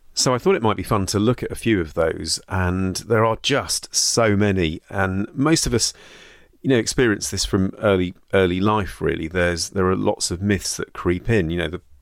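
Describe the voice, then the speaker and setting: At a moderate pace, a man with a British accent speaks at a fairly low pitch with ordinary pitch variation. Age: 40s. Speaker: GP and podcast host. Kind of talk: scripted narration; casual chat.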